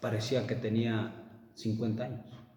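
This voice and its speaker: A man speaks at a moderate pace. The room echo is audible, and there is noticeable background noise. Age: 60s. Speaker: preacher. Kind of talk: sermon.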